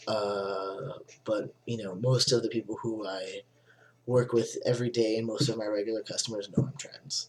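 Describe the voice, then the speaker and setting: At a moderate pace, a somewhat breathy man with medium pitch speaks with fairly even intonation. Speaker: vlogger. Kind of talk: personal vlog. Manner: hesitant, many fillers.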